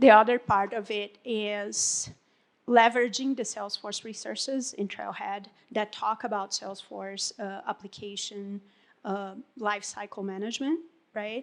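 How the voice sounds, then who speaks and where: A woman with a Portuguese accent and a fairly high pitch speaks at a fairly slow pace with fairly even intonation and big swings in loudness, in a very clean recording with a silent background. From Brazil. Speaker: Salesforce consultant. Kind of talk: panel discussion. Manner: halting.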